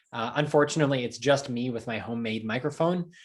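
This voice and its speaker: Here a man speaks with a New Jersey accent and ordinary pitch variation. The recording is very clean, with a silent background. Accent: American, New Jersey. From US Northeast, New Jersey. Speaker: translator. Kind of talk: Q&A talk. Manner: halting, many fillers.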